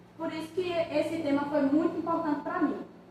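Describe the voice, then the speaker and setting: A woman's high-pitched voice at a moderate pace, fairly even intonation, audible room echo and noticeable background noise. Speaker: undergraduate student presenting thesis. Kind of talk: thesis defense presentation. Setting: academic defense before examiners.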